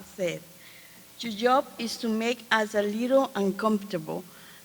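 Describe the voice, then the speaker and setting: A woman speaks with a Spanish accent in a fairly high voice. Her pace is moderate and her pitch varies in an ordinary way. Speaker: community advisory panel facilitator. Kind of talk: conference presentation. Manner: halting.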